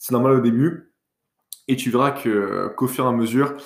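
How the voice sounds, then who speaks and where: A man is speaking. His pitch is medium. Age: 20s. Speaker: podcast host, business school student. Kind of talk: casual solo monologue. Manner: hesitant, with fillers and self-corrections.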